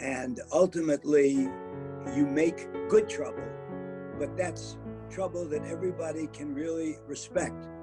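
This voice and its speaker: Fairly slow speech over music in the background. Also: man. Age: 80s+. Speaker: civil rights leader. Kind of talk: interview answer.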